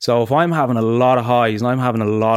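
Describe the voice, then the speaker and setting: Talking at a very fast pace, a man with an Irish accent uses a medium pitch and ordinary pitch variation on a very clean recording with a silent background. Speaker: podcast host with type 1 diabetes. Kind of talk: casual chat.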